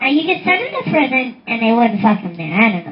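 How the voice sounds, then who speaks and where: A man performs a put-on character voice with very wide pitch swings. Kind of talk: comedy movie review. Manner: profane, ranting.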